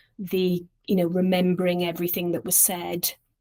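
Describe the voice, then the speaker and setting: Recorded very cleanly with a silent background and a dry, close sound with no echo, a woman speaks with a Welsh accent at a fairly low pitch. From Wales, Llantrisant. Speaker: charity director. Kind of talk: casual interview. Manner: halting.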